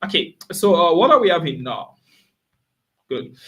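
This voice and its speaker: A man's voice with vocal fry. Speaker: forex trader and signals provider. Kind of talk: live trading stream commentary. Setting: live stream. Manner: fast; filler-heavy, repetitive.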